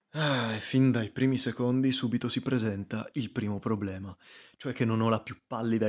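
A man talks at a fairly quick pace in an ordinary speaking voice, medium in pitch, with fairly even intonation. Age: 20s. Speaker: podcast host. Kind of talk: casual monologue. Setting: at home.

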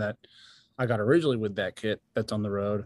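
On a very clean recording with a silent background and a dry, close sound with no echo, a man with an American accent speaks at medium pitch in a monotone, flat intonation. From New York, Long Island. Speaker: touring drummer. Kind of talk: casual chat.

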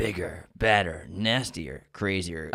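A man puts on a character voice, very deep and low in pitch, raspy, at a fairly slow pace. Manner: movie trailer voice.

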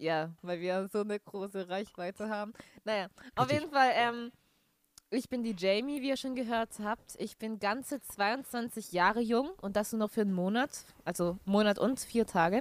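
This woman has a normal speaking voice, fairly high in pitch with ordinary pitch variation, moving at a moderate pace in a dry, close sound with no echo. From Bavaria, near Nuremberg (Franconia). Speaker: podcast co-host, musical theatre student. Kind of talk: casual chat. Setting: Skype call.

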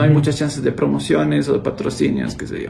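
A man speaks in a somewhat breathy voice. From Ecuador, Cuenca. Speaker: YouTuber, former teacher. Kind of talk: casual chat.

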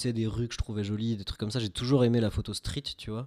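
Very clean recording, silent background, a man at medium pitch with fairly even intonation. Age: 20s. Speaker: web developer and amateur film photographer. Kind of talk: casual chat. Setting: home studio.

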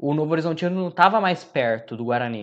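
Against a quiet background, a man uses a normal speaking voice, pitched fairly high, with ordinary pitch variation. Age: 20s. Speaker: sports podcast host, journalist. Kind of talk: casual football discussion podcast.

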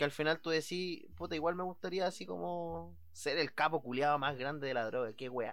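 A man with a Chilean accent, fairly high in pitch, at a moderate pace and with lively intonation, in a very clean recording over a silent background. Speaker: podcast host. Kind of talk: casual chat. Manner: animated.

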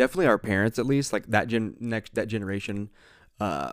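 This man speaks with an American accent at a moderate pace and fairly low pitch, in an unremarkable speaking voice. The recording is very clean, with a silent background. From Ohio, US. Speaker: podcast host, wedding photographer. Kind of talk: casual chat. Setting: home office.

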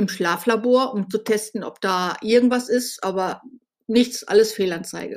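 A woman speaks at a fairly slow pace, her pitch fairly high. Her intonation stays fairly even. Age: 50s. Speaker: podcast host, blogger. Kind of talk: personal monologue. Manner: hesitant, with fillers.

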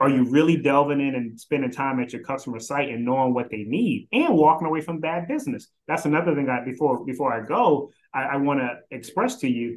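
A man with an American accent speaks in a plain, everyday voice, his pitch varying in an ordinary way. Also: fairly high pitch for a man, fairly quick pace. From Philadelphia and South Carolina. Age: 50s. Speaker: staffing executive. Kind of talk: casual interview.

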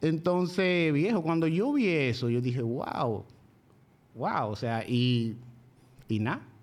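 Audible room echo surrounds a man speaking very slowly, with long, frequent pauses, in a fairly high voice. His intonation is lively, and his loudness stays very even. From Dominican Republic, La Vega province (rural). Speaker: machine shop owner. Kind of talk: casual interview.

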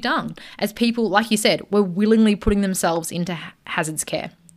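The speaker has an Australian accent, ordinary pitch variation and a fairly quick pace, on a very clean recording with a silent background. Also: woman. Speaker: podcast co-host. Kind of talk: casual chat storytelling.

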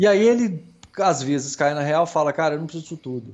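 This man has a normal speaking voice with a fairly high pitch. His intonation is lively. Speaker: podcast co-host, airsoft player. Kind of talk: casual chat.

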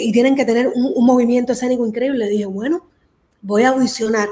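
A woman with a plain, everyday voice speaks at a fairly high pitch, her pitch moving in an ordinary way. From Cuba, raised in Miami. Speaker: singer. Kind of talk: interview.

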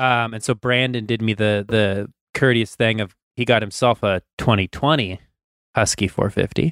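A man's normal speaking voice, medium in pitch with fairly even intonation, in a dry, close sound with no echo. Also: moderate pace. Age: 30s. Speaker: motocross podcast co-host, amateur rider. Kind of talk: casual chat. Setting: home basement, video call.

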